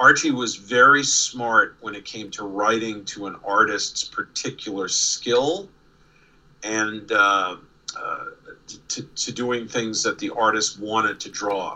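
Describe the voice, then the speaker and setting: Over noticeable background noise, someone with a slight New York accent speaks very slowly, the loudness rising and falling sharply. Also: man. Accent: faint New York. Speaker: comic artist and former studio assistant. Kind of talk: casual interview.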